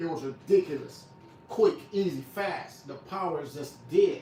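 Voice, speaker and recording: A man talks with ordinary pitch variation, and noticeable background noise can be heard. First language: not English. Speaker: barber and livestreamer. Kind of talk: livestream product review chat. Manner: stutters, repeats words; casual, conversational.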